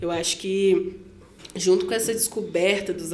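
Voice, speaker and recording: A woman with a Minas Gerais accent, medium pitch and fairly even intonation, amid noticeable background noise and audible room echo. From Santa Luzia, Minas Gerais, Brazil. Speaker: rapper and singer. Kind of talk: interview conversation. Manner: casual slangy.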